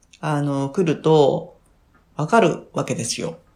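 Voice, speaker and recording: A woman speaks in a dark, mellow tone. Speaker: midwife and life coach. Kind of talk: casual interview chat.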